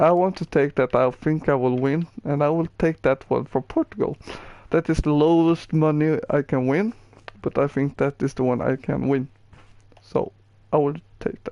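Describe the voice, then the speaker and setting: The voice is dark and mellow with a Swedish accent, moving at a moderate pace with ordinary pitch variation. The sound is dry and close, with no echo. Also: man, fairly high pitch for a man. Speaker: gaming streamer. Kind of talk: gameplay tutorial. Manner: halting.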